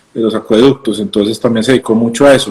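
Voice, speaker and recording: A man speaks in a Colombian accent at medium pitch with fairly even intonation. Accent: normal Colombian. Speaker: craft brewer and physician. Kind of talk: casual interview chat. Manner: halting, many fillers and repetitions.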